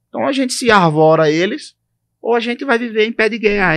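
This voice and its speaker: A man with a Pernambuco accent talks at a fairly quick pace in a high voice, recorded dry and close with no echo over a quiet background. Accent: Northeastern Brazilian (Pernambuco). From Brazil, Northeast (Recife, Pernambuco). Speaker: podcast co-host. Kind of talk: casual chat.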